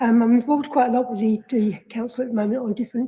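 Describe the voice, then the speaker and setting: A woman with a fairly high pitch and a dark, mellow tone talks very fast in a monotone, flat delivery that is somewhat breathy. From London (Hammersmith and Fulham). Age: 60s. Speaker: resident working group chair. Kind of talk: committee meeting statement. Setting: council committee meeting, livestreamed.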